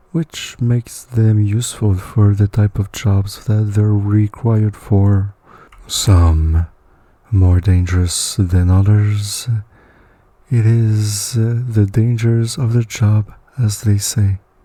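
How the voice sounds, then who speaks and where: A man speaks at a very slow pace with very even loudness. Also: fairly low pitch for a man, fairly even intonation. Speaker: story narrator. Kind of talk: read story narration.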